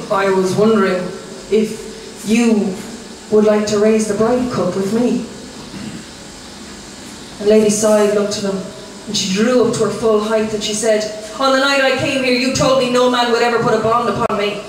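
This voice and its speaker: Speaking at a moderate pace with long, frequent pauses, a woman with a fairly high voice keeps her intonation fairly even against noticeable background noise. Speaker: storyteller. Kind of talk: live storytelling performance. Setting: restaurant, live audience.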